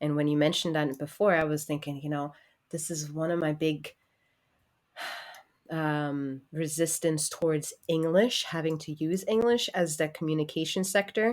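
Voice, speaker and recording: A woman's very deep, low voice in a German accent, with ordinary pitch variation and a moderate pace. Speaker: podcast co-host. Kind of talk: casual chat.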